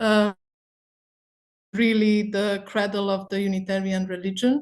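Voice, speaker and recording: A woman with an Eastern European accent talks at a fairly slow pace and medium pitch. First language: Hungarian. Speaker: charity board member. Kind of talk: presentation. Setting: video call.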